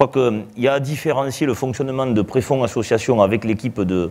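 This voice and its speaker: A man speaks with ordinary pitch variation. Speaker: association president. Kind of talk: live televised interview. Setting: live broadcast before an audience. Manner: loud; hesitant, many fillers.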